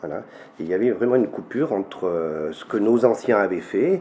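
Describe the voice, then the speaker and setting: A man's voice, fairly low in pitch, with very wide pitch swings. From French rural mountain village, Massif Central region. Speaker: folk song collector. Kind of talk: interview. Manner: halting.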